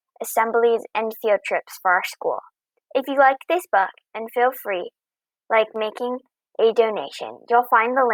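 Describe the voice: Fairly even intonation in plain reading aloud, quiet all around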